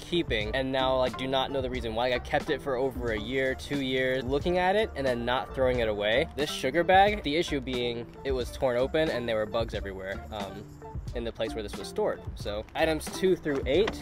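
Over clear background music, a man talks at a fairly quick pace with hardly any pauses, the sound dry and free of echo. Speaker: vlogger. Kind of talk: casual vlog chat. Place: street. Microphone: phone near.

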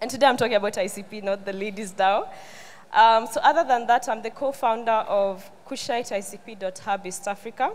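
Speaking in a Kenyan accent, a woman uses a fairly high pitch, ordinary pitch variation and a moderate pace. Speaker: tech community founder and conference speaker. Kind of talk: conference talk. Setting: stage with audience. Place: stage. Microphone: handheld.

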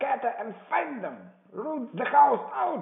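A man puts on a loud character voice at an extremely high pitch, speaking at a fairly slow pace. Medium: read story. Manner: furious, commanding, cursing.

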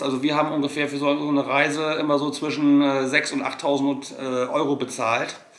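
A man talks at a fairly quick pace in a fairly high voice. Room echo can be heard. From Germany. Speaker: travel vlogger. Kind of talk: casual chat. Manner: hesitant with many fillers. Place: home room.

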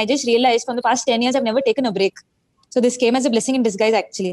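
Against a quiet background, a woman talks at a very fast pace with a fairly high pitch. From India. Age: 20s. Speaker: cricketer. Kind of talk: TV interview. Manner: hesitant, many fillers. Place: home room. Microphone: video call.

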